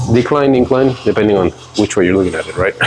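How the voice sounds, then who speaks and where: With noticeable background noise behind him, a man rushes along at a very fast pace, his intonation fairly even. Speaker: fitness creator. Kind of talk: workout tutorial. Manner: mumbling.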